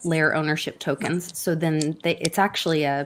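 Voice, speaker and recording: Delivery moves along at a moderate speed. It carries a Southern US accent. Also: woman. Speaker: crypto show co-host. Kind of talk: casual chat.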